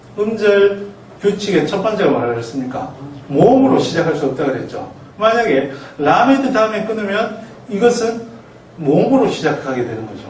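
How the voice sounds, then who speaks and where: Pitch swings very widely while the pace stays moderate. There is noticeable background noise and audible room echo. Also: man. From outside Gyeongsangnam-do, Korea. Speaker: Hebrew grammar lecturer. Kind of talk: lecture.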